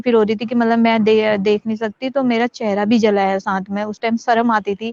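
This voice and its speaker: Fairly high-pitched woman at a moderate pace, monotone and flat, with a dry, close sound and no echo. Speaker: acid attack survivor and social activist. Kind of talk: interview testimony.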